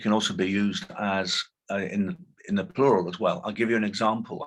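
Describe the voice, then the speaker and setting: In a British accent, a man talks at a fairly quick pace and fairly low pitch with ordinary pitch variation, on a very clean recording with a silent background. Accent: RP, received pronunciation. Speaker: linguistics professor. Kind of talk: lecture. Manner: halting, many fillers.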